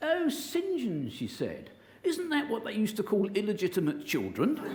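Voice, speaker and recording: A man with an English accent speaks at a moderate pace in a high pitch, with very wide pitch swings. The recording has audible room echo and noticeable background noise. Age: 60s. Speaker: motivational speaker. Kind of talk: inspirational talk. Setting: stage with audience. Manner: animated.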